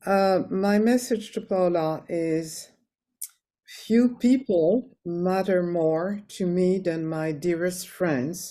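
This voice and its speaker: A woman speaks at a very slow pace in a dark, mellow tone with ordinary pitch variation, on a very clean recording with a silent background. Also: medium pitch for a woman. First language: French. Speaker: friend giving a eulogy. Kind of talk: memorial tribute.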